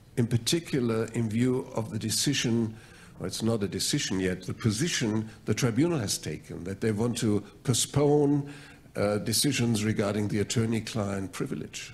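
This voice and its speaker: Moderate pace, ordinary pitch variation, and a German accent. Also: man, medium pitch for a man. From Germany. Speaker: mediator. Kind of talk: mock mediation role-play. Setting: stage with audience.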